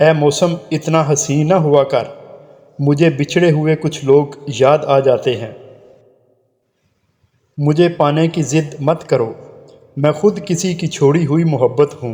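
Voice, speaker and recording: Fairly high for a man, this voice keeps a fairly even intonation. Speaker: voice-over artist. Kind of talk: motivational quotes narration.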